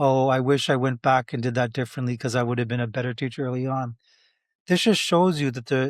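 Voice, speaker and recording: The voice moves at a very fast pace with ordinary pitch variation, dry and close with no echo, on a very clean recording against a silent background. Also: man. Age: 60s. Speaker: math educator. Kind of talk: podcast interview.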